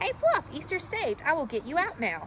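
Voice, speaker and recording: A squeaky, put-on character voice talks at a fairly quick pace. Clear background noise runs underneath. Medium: read story.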